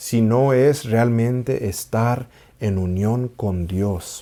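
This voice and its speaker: On a very clean recording with a silent background, a man with a dark, mellow tone speaks at medium pitch with ordinary variation. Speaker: Orthodox priest. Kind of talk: spiritual teaching talk. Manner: warm, measured, with occasional repetition.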